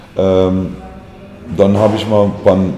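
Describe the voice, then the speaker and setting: A man talks with a very deep, low pitch. Room echo is audible, and background noise is noticeable. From USA. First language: English (speaking German). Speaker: musician, band frontman. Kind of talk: interview. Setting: hair salon.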